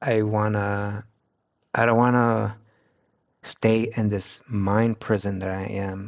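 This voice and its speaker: In a Spanish accent, a man talks with a fairly low pitch. His intonation is monotone and flat, and the background is quiet. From United States, Mexican-American family. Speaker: streamer. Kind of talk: casual chat. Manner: halting, with many restarts.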